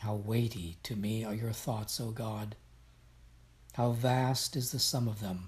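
At a fairly slow pace, a man of medium pitch speaks in a solemn, somewhat breathy tone with fairly even intonation. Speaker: devotion reader. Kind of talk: reading aloud of scripture and devotional prayer, reverent and fervent. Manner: solemn, reverent, measured.

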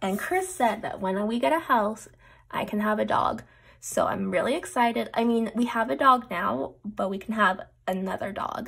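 The voice moves at a moderate pace with very wide pitch swings. The background is quiet. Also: woman. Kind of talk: casual vlog chat. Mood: excited, cheerful.

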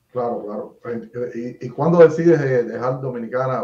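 A man speaks with audible room echo. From Cuba. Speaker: YouTube interviewer. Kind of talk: interview. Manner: halting, with many repetitions. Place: home room.

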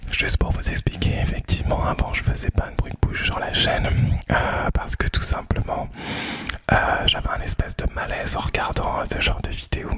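A man whispering at a moderate pace. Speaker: ASMR creator. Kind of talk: casual soft-spoken vlog chat. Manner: soft close-mic ASMR speaking. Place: home room. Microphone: studio mic.

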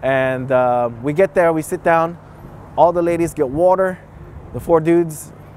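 With a Bay Area accent, a man speaks at a moderate pace and a high pitch, with ordinary pitch variation, in a dry sound with no echo over light background noise. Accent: US West Coast (Bay Area) English. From San Francisco, California, Filipino-American. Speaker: English teacher in Japan telling stories. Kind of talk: casual storytelling interview. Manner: animated. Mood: animated, amused storytelling. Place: street. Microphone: lapel.

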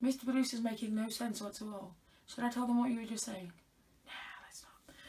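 The voice is animated and very fast. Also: woman. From UK. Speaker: unboxing vlogger. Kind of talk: casual unboxing chat. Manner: chatty, animated. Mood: playful, teasing. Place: home room. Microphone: phone near.

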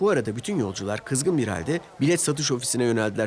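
This man speaks fast at a medium pitch, his tone slightly mellow with a slightly husky edge. His intonation is lively.

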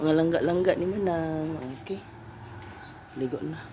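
With a Philippine accent, a woman speaks at a fairly low pitch amid noticeable background noise and audible room echo. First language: Cebuano (speaking Tagalog). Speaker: vlogger. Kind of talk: casual vlog. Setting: beach house.

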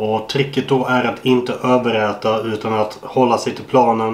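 A man speaks at medium pitch in a monotone, flat intonation. Audible room echo surrounds the voice. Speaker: bodybuilder and YouTuber. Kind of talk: casual vlog. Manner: casual, swearing-laden.

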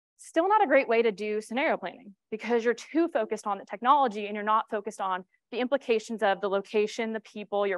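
Very fast and fairly high, a woman with an American accent talks with ordinary pitch variation in a dry recording with no echo and a quiet background. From New York. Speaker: cybersecurity strategist; conference presenter. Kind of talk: conference talk. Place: stage.

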